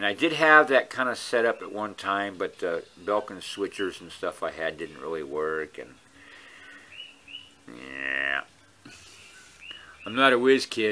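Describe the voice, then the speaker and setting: Mumbling at a fairly slow pace, a man with a fairly low pitch makes very wide pitch swings and big swings in loudness, leaving long, frequent pauses. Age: old. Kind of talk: casual talk to camera. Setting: outdoors.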